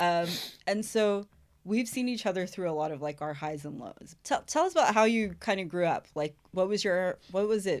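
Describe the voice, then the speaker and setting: With an ordinary speaking voice, a woman at medium pitch talks at a moderate pace with lively intonation, in a very clean recording against a silent background. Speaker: podcast host. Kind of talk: casual podcast interview.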